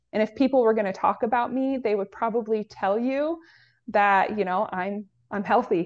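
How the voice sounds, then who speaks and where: A woman with an unremarkable speaking voice talks at a moderate pace, her fairly high pitch showing ordinary variation over a quiet background. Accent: American. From US Pacific Northwest. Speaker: health educator. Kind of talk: casual chat.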